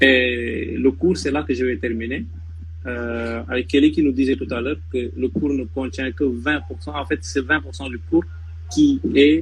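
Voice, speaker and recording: Talking at a fairly slow pace, a man with a medium-pitched voice swings his pitch very widely. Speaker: former law student giving study advice. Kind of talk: live panel discussion. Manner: halting, many repetitions.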